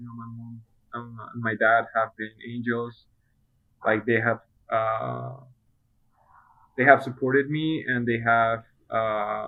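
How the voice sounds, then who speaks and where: A man with a medium pitch speaks at a very slow pace, in monotone, flat intonation with long, frequent pauses. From Colombia. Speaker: patient sharing health experience. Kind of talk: interview testimony. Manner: halting, many fillers.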